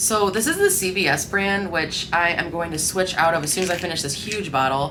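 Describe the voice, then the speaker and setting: A woman's fairly low voice at a fairly quick pace, with ordinary pitch variation, audible room echo and noticeable background noise. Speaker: lifestyle vlogger. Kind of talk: casual vlog talk. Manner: stumbling over words; casual, filler-heavy.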